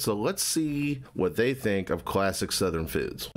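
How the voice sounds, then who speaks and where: Here a man is speaking. His pitch swings very widely. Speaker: reaction youtuber. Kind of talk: casual reaction commentary. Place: home room.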